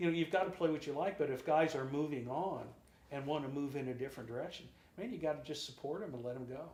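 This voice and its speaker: A man talks very fast at a fairly high pitch, with ordinary pitch variation. Audible room echo surrounds his voice. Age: 60s. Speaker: drummer and singer. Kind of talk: interview.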